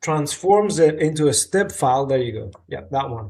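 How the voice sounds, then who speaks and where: This is a man speaking. His pitch is fairly high. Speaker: CAD software support host. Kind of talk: live Q&A tech support stream.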